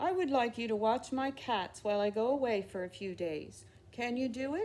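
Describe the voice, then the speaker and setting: A put-on character voice, female-sounding and fairly high-pitched, at a moderate pace. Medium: read story. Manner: gentle, courteous.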